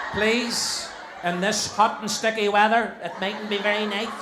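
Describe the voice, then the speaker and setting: In a Northern Irish accent, a man with a high-pitched voice speaks at a moderate pace amid noticeable background noise and audible room echo. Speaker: compere of charity talent show. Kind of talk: live stage hosting. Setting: stage with audience. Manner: animated.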